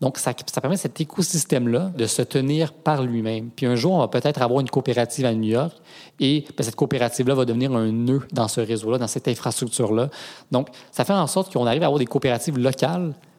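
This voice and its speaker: A man with a medium-pitched voice talks very fast, his pitch varying in an ordinary way. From Quebec (Granby). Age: 20s. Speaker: cofounder of a ride-sharing cooperative. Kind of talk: interview.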